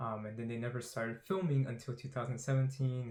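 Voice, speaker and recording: Mumbling and somewhat breathy, a man talks at a medium pitch with fairly even intonation. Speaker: YouTuber doing movie trailer analysis. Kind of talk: trailer analysis monologue. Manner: mumbling, stumbling on words; fast, rushed.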